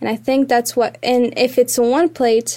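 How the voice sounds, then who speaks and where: A woman speaks in a high pitch with a dark, mellow tone. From Morocco. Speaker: student. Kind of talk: casual chat. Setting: studio.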